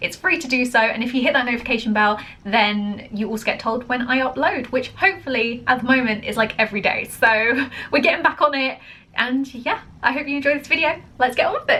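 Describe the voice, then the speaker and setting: A woman with an American accent speaks in a raised, projected voice at a high pitch and very fast pace. Her pitch variation is ordinary, and noticeable background noise is present. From England. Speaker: reaction video creator. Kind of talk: casual chat.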